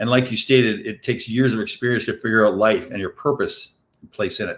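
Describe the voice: This man's voice is fairly low in pitch with a fairly bright tone. He moves at a fairly quick pace with ordinary pitch variation.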